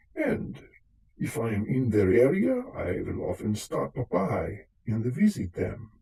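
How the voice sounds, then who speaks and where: Using a put-on character voice, a man holds a medium pitch. His pace is fairly slow. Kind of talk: live radio drama performance.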